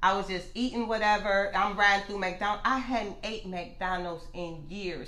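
A woman with an American accent talks at a fairly slow pace with fairly even intonation amid audible room echo. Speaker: gastric bypass patient. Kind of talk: interview.

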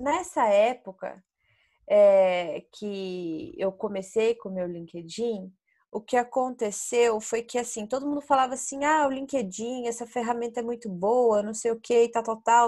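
A woman speaks at a fairly slow pace with a fairly high pitch, a dark, mellow tone and ordinary pitch variation. The recording is very clean, with a silent background. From Brazil, interior of Paraná. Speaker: BIM and construction sales professional. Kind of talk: casual interview. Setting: podcast recording.

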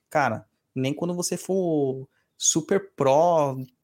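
The man speaks at a fairly high pitch with ordinary pitch variation. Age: 40s. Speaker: podcast host and umbanda priest. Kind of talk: casual chat answering listener emails. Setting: live stream.

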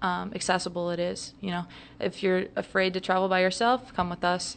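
Medium-pitched woman with an American accent at a moderate pace, quiet background. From US Midwest, St. Louis, Missouri. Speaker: entrepreneur and youth soccer coach. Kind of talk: casual interview.

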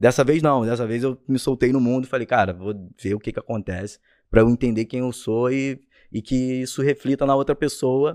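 A man with an unremarkable speaking voice at medium pitch and moderate pace, fairly even in intonation, dry and close with no echo against a quiet background. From Rio de Janeiro state, Brazil (Rio Bonito). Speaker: musician. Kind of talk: casual chat.

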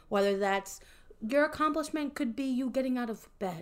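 A woman with a normal speaking voice, fairly high pitch and a fairly quick pace. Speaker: podcast host. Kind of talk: casual chat.

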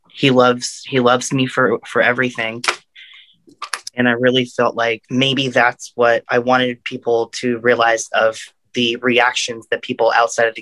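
The man's tone is bright and sharp, with monotone, flat intonation. The sound is dry and close, with no echo. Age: 20s. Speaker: podcast guest. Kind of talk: casual chat.

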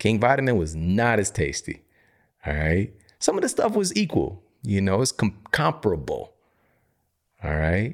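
Over a very clean recording with a silent background, a man with an American accent sounds animated, his fairly low pitch swinging very widely, with long, frequent pauses. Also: moderate pace. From US Midwest, Missouri. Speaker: health podcast host and author. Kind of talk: solo educational monologue.

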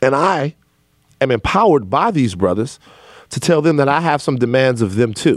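Using an unremarkable speaking voice, a man talks at a moderate pace and medium pitch with lively intonation. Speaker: podcast host. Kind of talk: interview conversation, opening with ad read. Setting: studio.

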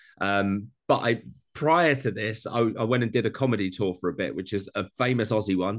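The man's voice sits at a medium pitch. Little noise can be heard behind him. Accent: Essex. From Essex, England. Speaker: home cooking content creator. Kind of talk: casual interview chat.

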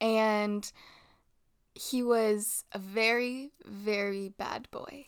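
The recording is very clean with a silent background, and the woman's voice is fairly high. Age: 20s. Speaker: podcast co-host. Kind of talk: casual chat.

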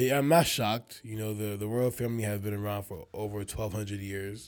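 The pace is fairly quick, in a normal speaking voice. It is a very clean recording with a silent background. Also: man. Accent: American. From Nigerian American, grew up in the US. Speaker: podcast co-host. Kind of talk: casual chat.

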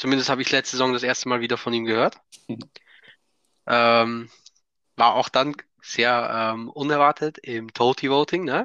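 Man at medium pitch with a bright, sharp tone and fairly even intonation, moderate pace with long, frequent pauses, in a dry, close sound with no echo. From Austria. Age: 20s. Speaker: football fan, podcast guest. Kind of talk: casual chat.

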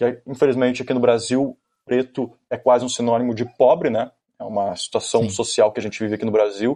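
In a southern Brazilian accent, a man speaks at a moderate pace. His intonation stays fairly even. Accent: gaúcho Brazilian Portuguese. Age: 20s. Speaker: aspiring reporter. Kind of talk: casual chat.

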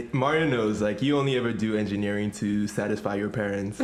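A man talks very fast in a fairly low voice. His loudness stays very even, and background noise is noticeable. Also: ordinary pitch variation. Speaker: guest interviewer on podcast.

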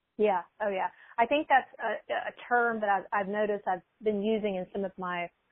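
A woman's normal speaking voice with an American accent, medium in pitch, with fairly even intonation and a fairly quick pace. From US South, small-town Alabama. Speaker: mindset coach. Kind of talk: casual interview.

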